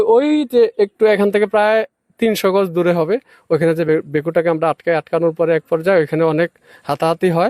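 With very even loudness, a man talks at a high pitch in a dry, close sound with no echo. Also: ordinary pitch variation. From Bangladesh, Cumilla. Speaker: local villager, protest organizer. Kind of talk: on-the-spot interview. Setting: outdoors at a protest.

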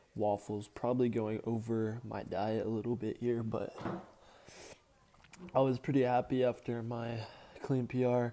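This man has a dark, mellow tone and a monotone, flat intonation. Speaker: weightlifting vlogger. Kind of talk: casual vlog chat. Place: home room. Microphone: earbuds.

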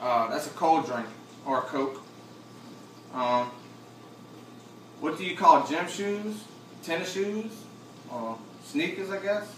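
Speaking very slowly with long, frequent pauses, a man with a fairly high pitch and very wide pitch swings is heard amid audible room echo and light background noise. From Chalmette, Louisiana, near New Orleans. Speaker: vlogger. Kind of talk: accent tag word list and casual answers. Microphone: camera far.

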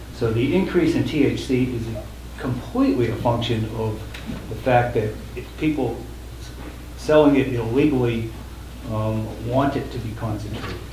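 A man at a moderate pace with long, frequent pauses, amid audible room echo and light background noise. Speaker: attorney. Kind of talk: testimony. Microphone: podium.

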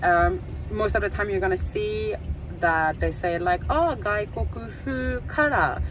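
A very slow pace, dry sound with no echo, and noticeable background noise. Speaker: vlogger getting hair done. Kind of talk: casual vlog chat. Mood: a little nervous. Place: car. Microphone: phone near.

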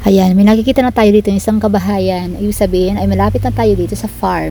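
A woman speaks over noticeable background noise. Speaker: vlogger. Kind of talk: vlog narration. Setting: outdoors.

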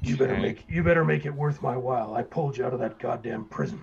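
Putting on a character voice, a man booms loudly at a medium pitch and a fairly quick pace. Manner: domineering, gruff.

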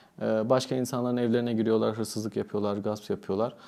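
Dark and mellow in tone, a man's voice moves at a very fast pace. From Turkey, Antalya. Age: 30s. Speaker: psychiatrist. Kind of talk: interview.

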